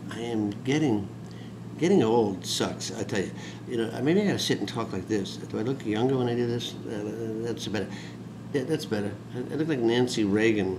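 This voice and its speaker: A gruff man speaks with ordinary pitch variation over noticeable background noise. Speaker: industry executive and video blogger. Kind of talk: ranting video blog monologue, grumbling and wisecracking. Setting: self-recorded video to camera. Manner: rambling, gruff and self-mocking, bitter about getting old; fast, talkative, with blunt sarcastic complaints. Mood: wry, joking, animated. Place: home room. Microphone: webcam.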